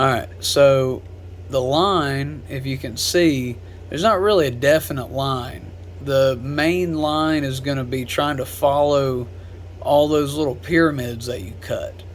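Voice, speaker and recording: With lively intonation and a fairly high pitch, a man talks at a fairly slow pace in a room with audible echo. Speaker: gun customization hobbyist / tutorial creator. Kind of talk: tutorial. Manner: lowered voice while focusing; casual, filler-heavy.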